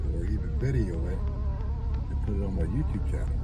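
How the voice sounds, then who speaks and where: A man is talking. Loud background noise is present. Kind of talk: casual vlog chat. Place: car. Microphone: phone near.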